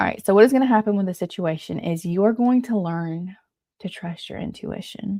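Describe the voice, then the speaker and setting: A woman speaks at a fairly quick pace, her tone dark, mellow and somewhat breathy. Her loudness swings widely. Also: medium pitch for a woman, ordinary pitch variation. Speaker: tarot reader. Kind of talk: live tarot reading. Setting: live stream, early morning. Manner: casual, filler-heavy.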